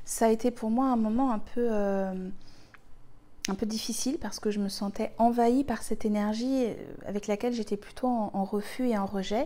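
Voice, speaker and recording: A woman speaks at a moderate pace with fairly even intonation. Her fairly high voice has a dark, mellow tone. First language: Spanish (speaking French). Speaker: spiritual healer, retreat leader. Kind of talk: personal spiritual talk to viewers. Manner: hesitant, many fillers and repetitions.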